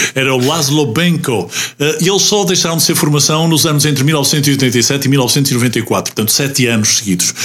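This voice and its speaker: A man's fairly high voice at a moderate pace, with ordinary pitch variation and very even loudness over noticeable background noise. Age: 50s. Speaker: radio host. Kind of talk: casual chat.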